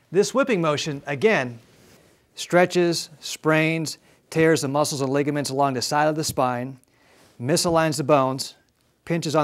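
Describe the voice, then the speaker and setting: On a very clean recording with a silent background, a man talks at a fairly quick pace in an ordinary speaking voice, with a fairly high pitch and ordinary pitch variation. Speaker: chiropractor. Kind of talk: infomercial presentation explaining spine models and x-rays.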